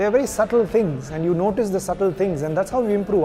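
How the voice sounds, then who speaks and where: Music plays in the background as a man speaks at a very fast pace. His pitch is high, with ordinary variation. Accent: Indian. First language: Kodava Takk. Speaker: actor. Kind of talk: interview.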